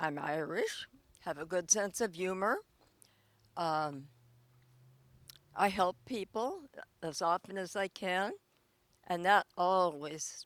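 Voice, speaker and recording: At a very slow pace with long, frequent pauses, a woman speaks at medium pitch, her loudness swinging widely. The recording is very clean, with a silent background. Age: 90s. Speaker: elderly local resident interviewed. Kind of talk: casual interview.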